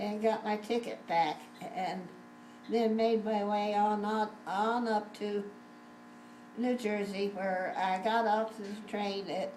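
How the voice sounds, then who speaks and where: Over noticeable background noise, the speech unfolds at a very slow pace with fairly even intonation and long, frequent pauses. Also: woman, medium pitch for a woman. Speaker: grandmother. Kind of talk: family storytelling interview. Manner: hesitant, rambling.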